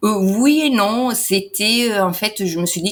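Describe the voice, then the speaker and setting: A woman is speaking. Her pace is fairly slow. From Italy. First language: Italian (speaking French). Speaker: entrepreneur and translator. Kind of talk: interview. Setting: in person interview. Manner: hesitant, many fillers.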